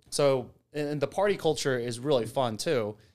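Fairly high-pitched man with an American accent and lively intonation, on a very clean recording with a silent background. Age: 30s. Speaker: software engineer. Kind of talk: casual chat.

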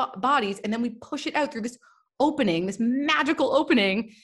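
A woman with a Canadian accent, somewhat breathy, at a moderate pace and with lively intonation. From Canada, Toronto. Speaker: Ayurveda and yoga teacher. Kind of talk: casual interview chat.

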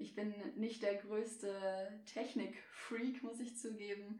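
Audible room echo is present in the recording. The voice belongs to a woman. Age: 20s. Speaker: media student and freelance photographer. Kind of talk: casual interview chat.

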